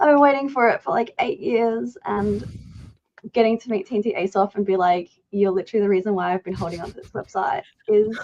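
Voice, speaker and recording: Talking at a very fast pace in an Australian accent, a woman uses lively intonation and big swings in loudness. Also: medium pitch for a woman. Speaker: content creator. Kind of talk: livestream chat. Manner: casual.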